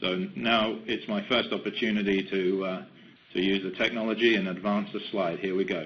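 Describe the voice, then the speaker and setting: With an English accent, a man speaks at a moderate pace, his fairly low pitch held in a fairly even intonation. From England, London. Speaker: company executive. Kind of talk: webinar presentation. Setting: webcast. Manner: halting.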